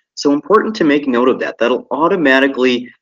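In an American accent, a man speaks with a normal speaking voice at a moderate pace with ordinary pitch variation. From Michigan, US. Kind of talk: lecture. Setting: live webinar.

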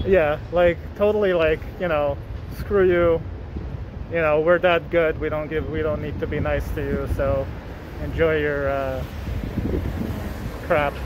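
The speech moves at a fairly slow pace with long, frequent pauses, sounding dry with no echo amid noticeable background noise. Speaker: vlogger. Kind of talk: casual vlog chat. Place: street. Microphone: phone near.

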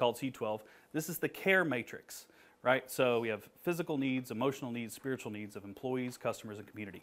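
A man is speaking, with ordinary pitch variation. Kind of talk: presentation talk. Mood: friendly, joking. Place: meeting room. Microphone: lapel.

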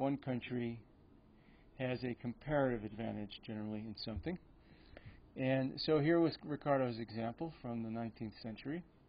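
Speaking at a moderate pace, a man uses ordinary pitch variation. He leaves long, frequent pauses. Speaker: economics lecturer. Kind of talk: lecture. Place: hall. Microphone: podium.

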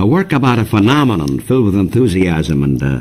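This man's voice is very deep and low, with very wide pitch swings. He talks at a fairly quick pace. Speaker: radio interviewer. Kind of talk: radio show introduction. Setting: radio studio. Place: studio.

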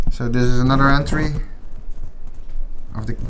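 A man's monotone, flat delivery amid noticeable background noise. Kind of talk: casual vlog commentary. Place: tunnel cave. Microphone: phone near.

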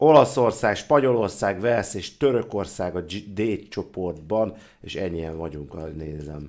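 A man's fairly low pitch, animated tone and lively intonation, at a fairly slow pace with big swings in loudness, over a quiet background. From Hungary. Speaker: Twitch gamer streamer. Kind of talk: live gaming stream, casual chat. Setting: online stream, playing at home. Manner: animated, swearing, excitable. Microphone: headset.

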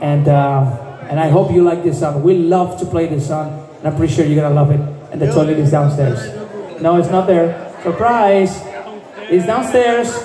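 Amid light background noise and audible room echo, a man talks at a moderate pace with ordinary pitch variation. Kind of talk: stage banter. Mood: joking, playful. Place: bar.

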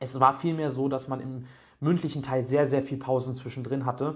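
The man's intonation is monotone and flat, at a moderate pace. The background is quiet. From Germany, Berlin; Germany. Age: 20s. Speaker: job applicant sharing experience. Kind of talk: testimonial tutorial. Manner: hesitant, many fillers. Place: home room. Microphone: studio mic.

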